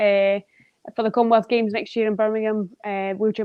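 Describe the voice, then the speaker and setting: With a Scottish accent, a woman speaks at a fairly high pitch in fairly even intonation. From Scotland. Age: 30s. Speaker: wheelchair basketball player. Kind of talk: podcast interview.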